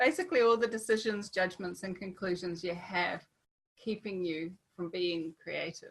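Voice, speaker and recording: Her pitch sits in the middle range, rising and falling in an ordinary way. This woman sounds somewhat breathy. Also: moderate pace. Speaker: webinar host and artist. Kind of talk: online workshop webinar. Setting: video call.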